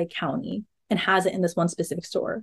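A woman speaks in a plain, everyday voice with an American accent, her pitch medium and her intonation fairly even. The sound is dry and close, with no echo. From California, Monterey Bay. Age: 20s. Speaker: hiker and podcast intern. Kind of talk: casual interview.

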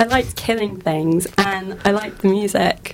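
Noticeable background noise runs beneath a woman whose pitch variation is ordinary. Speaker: panelist discussing games. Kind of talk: casual group chat. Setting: radio studio.

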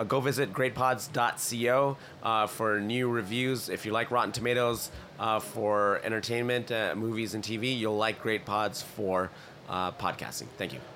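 Music plays in the background as a man speaks at a medium pitch. His pace is fairly slow and his intonation fairly even. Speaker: podcast industry professional. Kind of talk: casual chat. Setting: live at a conference.

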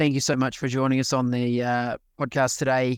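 A man with a New Zealand accent speaks at a moderate pace and a medium pitch. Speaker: podcast host. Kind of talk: interview.

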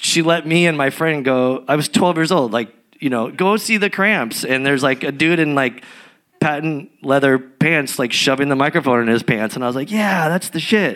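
A man with a normal speaking voice talks in an American accent. His pitch is fairly high and his pace moderate. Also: ordinary pitch variation. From San Diego, California. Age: 40s. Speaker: punk musician. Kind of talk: live interview. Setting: stage with audience.

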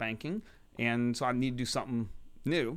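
This man speaks with an American accent at a medium pitch and a fairly quick pace. It is a plain, everyday voice, recorded very cleanly against a silent background. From Texas, Houston. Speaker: venture capitalist. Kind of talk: casual chat. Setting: studio.

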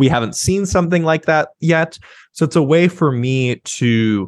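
Against a quiet background, a man with an ordinary speaking voice talks at a moderate pace with lively intonation. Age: 30s. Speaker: sex writer. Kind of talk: interview.

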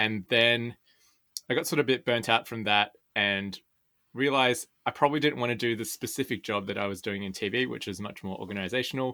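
A man talks at a fairly quick pace with an Australian accent. His tone is bright and sharp, on a very clean recording with a silent background. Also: medium pitch for a man, ordinary pitch variation. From Sydney, Australia. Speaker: podcaster. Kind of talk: interview.

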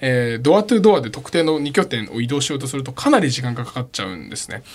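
A man talking at a fairly quick pace. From Tokyo, Japan. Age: 20s. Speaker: startup CEO. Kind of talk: radio interview.

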